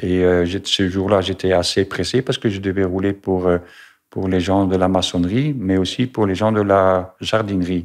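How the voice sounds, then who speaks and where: Over a quiet background, a man speaks with a very deep, low voice and fairly even intonation. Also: moderate pace. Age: 60s. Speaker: retired truck driver, cancer patient. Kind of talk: testimony. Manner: halting, many hesitations.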